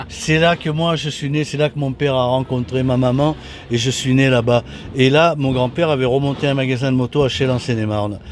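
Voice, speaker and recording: Amid noticeable background noise, a man of medium pitch speaks at a fairly quick pace with fairly even intonation. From southern France, Toulon. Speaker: retired motorcycle racer. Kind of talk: interview. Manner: halting, many repetitions and hesitations.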